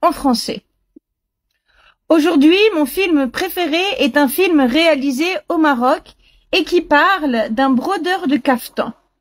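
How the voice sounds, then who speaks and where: A woman's high-pitched voice at a very slow pace with ordinary pitch variation. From France (Paris). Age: 70s. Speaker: language learning speaker. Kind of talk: listening comprehension monologue. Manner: slow, clear.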